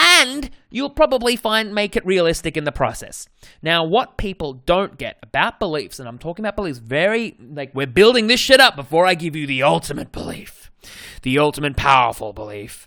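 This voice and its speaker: In a very clean recording with a silent background, a man with an Australian accent talks at a high pitch and fairly quick pace, his tone energetic, bright and sharp, with very wide pitch swings and big swings in loudness. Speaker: dating coach, podcast host. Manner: casual, energetic monologue.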